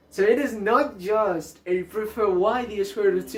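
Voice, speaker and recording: Man speaking with music in the background. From Colombia. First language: Spanish. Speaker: math YouTuber. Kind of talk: math tutorial outro. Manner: hesitant, many fillers.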